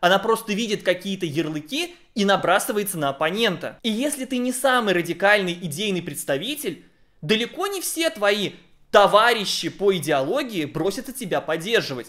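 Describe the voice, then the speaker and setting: Against a quiet background, a man with a high pitch and a bright, sharp tone speaks at a moderate pace with lively intonation. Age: 30s. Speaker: YouTube blogger and commentator; YouTube blogger, commentator. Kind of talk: video essay commentary. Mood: critical, ironic. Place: home room. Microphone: studio mic.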